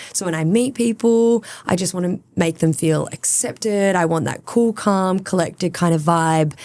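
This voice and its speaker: A woman with an Australian accent speaks at medium pitch and a moderate pace. She has ordinary pitch variation and hardly any pauses. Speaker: social media producer. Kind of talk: podcast interview. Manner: bubbly, chatty.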